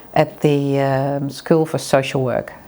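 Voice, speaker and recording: The woman's voice has a dark, mellow tone. She speaks at a fairly slow pace. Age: 50s. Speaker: psychology lecturer. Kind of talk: interview testimony.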